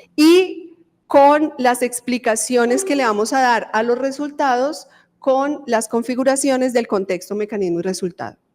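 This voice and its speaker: Her voice is high-pitched with lively intonation, and the woman speaks at a fairly slow pace. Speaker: university professor and dentist researcher. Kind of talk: lecture.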